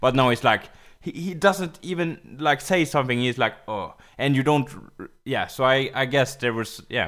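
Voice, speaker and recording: The speaker keeps a moderate pace and ordinary pitch variation while the loudness swings widely. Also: man, medium pitch for a man. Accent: Swedish. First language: Swedish. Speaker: podcast co-host. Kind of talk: casual chat. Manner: halting.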